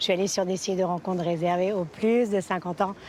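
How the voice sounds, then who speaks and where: An ordinary speaking voice delivers its words at a fairly quick pace. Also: woman. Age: 60s. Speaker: senior model and influencer. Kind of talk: TV interview.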